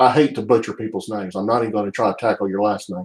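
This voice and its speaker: A man with a Southern US accent speaks very fast at a fairly low pitch, his intonation fairly even. The recording is very clean, with a silent background. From US South (Alabama, Birmingham area). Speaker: baseball card collector streamer. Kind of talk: casual chat. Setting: live stream from home office.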